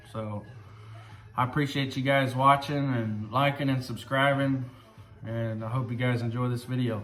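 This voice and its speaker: A man's medium-pitched, monotone, flat delivery at a moderate pace, with long, frequent pauses, audible room echo and noticeable background noise. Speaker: car enthusiast vlogger. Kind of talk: casual video blog. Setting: cold garage.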